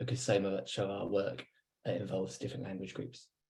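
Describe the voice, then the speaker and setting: Talking at a very fast pace, a man with a British accent has a fairly low, somewhat breathy voice and fairly even intonation. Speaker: academic researcher. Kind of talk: webinar presentation.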